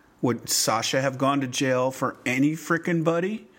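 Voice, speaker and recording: A man with an American accent talks in a normal speaking voice at a moderate pace, fairly high in pitch, with ordinary pitch variation. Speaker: podcast co-host. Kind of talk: casual banter, recapping a TV show.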